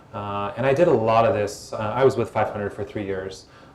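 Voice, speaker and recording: A man with an American accent talks very fast at a fairly low pitch, with ordinary pitch variation. Noticeable background noise is present. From United States. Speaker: former tech executive and startup investor. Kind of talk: panel Q&A at live event. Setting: stage with audience. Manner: soothing.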